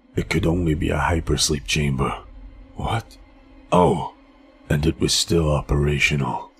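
With long, frequent pauses, a man speaks at a moderate pace in a weary tone, his very deep, low pitch showing ordinary variation. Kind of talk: first-person audio comic narration. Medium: audio drama. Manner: reflective, weary, quietly awed.

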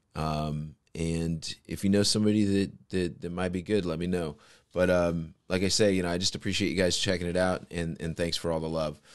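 Over a quiet background, a man speaks fairly quickly in a very deep, low pitch and a flat monotone. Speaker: podcast host. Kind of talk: casual podcast monologue. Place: home room. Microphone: studio mic.

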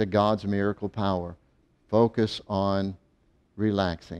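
Very slow speech in a dark, mellow tone comes through over a quiet background. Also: man. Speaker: faith healing preacher. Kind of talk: fervent healing prayer with commands. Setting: video channel, direct address to viewers. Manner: authoritative, commanding; fervent, urgent. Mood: calm, reassuring, earnest. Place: studio.

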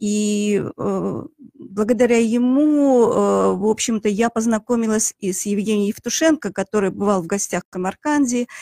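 The woman talks at a fairly slow pace in a fairly high, dark, mellow voice, with a quiet background. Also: dry sound with no echo. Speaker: chemist; radio guest, guest. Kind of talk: radio interview. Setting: studio. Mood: warm, reminiscing. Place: studio. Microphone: studio mic.

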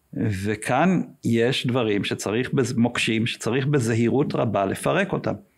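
A man speaks at a fairly slow pace with lively intonation and vocal fry. His loudness stays very even over a quiet background. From Israel, Ness Ziona; Israel. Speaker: entrepreneur and civic activist; podcast guest. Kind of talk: interview. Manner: hesitant with frequent fillers. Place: studio. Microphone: studio mic.

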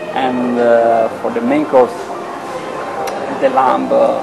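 A man speaking at a very slow pace, with clear music in the background. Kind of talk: interview answer. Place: cafe.

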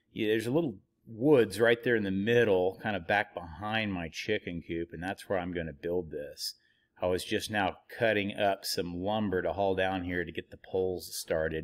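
A man is speaking against a quiet background. His pitch varies in an ordinary way. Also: fairly low pitch for a man, moderate pace. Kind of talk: casual vlog chat. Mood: relaxed, explanatory. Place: car. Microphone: phone near.

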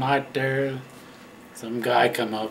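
Fairly even intonation comes from a man heard through noticeable background noise. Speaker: retired truck driver. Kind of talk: casual storytelling. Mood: relaxed, reminiscing. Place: home room.

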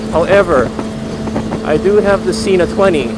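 Dry sound with no echo, plus loud background noise. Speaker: motovlogger. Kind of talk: casual vlog chat. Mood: upbeat, enthusiastic. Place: motorbike. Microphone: helmet.

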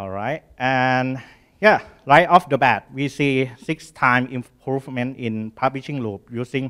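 Against a quiet background, a man speaks in a Thai accent at a medium pitch. His pace is fairly slow and his pitch variation ordinary. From Thailand. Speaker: startup founder and engineer; conference presenter. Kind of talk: conference talk; technical conference talk. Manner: halting. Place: hall.

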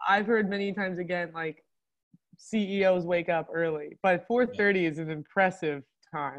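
A woman speaks at a moderate pace with a fairly low pitch and ordinary pitch variation. The background is quiet. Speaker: webinar moderator. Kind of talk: webinar Q&A. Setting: video call. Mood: friendly, amused. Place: home room.

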